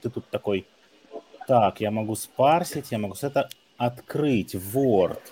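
This man speaks at a fairly slow pace with ordinary pitch variation. His pauses are long and frequent. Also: medium pitch for a man. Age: 30s. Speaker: recruitment trainer. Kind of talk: casual chat.

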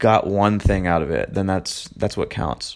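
The voice carries vocal fry and moves at a moderate pace. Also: man. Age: 20s. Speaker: podcast host. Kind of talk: solo monologue. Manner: casual with frequent fillers.

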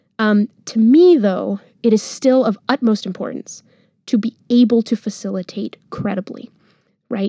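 A dark, mellow tone in an American accent, with a dry, close sound and no echo. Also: woman. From Monterrey, Mexico. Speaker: journalist, newsletter founder. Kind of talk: interview, casual conversation.

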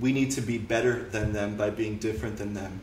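A man with a Canadian accent speaks at a medium pitch amid audible room echo. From Canada. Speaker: political commentator. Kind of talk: casual interview.

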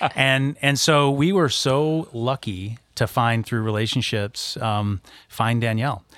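A man with an American accent and a plain, everyday voice at medium pitch and fairly slow pace, on a very clean recording with a silent background. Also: ordinary pitch variation. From west Michigan, US. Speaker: business founder and former banker. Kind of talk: casual chat.

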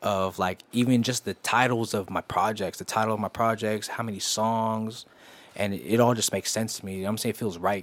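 Over a silent background in a very clean recording, a man with an American accent speaks at a fairly quick pace with fairly even intonation. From San Jose, California. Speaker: R&B singer and rapper. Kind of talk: casual interview. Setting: studio.

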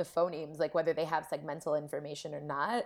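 A woman speaks with an American accent in a fairly low pitch. The recording is very clean, with a silent background. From Columbus, Ohio. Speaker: linguistics postdoc. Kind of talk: casual interview.

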